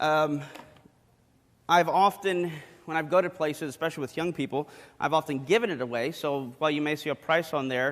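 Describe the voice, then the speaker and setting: A man's fairly high-pitched voice with fairly even intonation on a very clean recording with a silent background. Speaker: apologetics speaker. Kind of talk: sermon. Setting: church. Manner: fast.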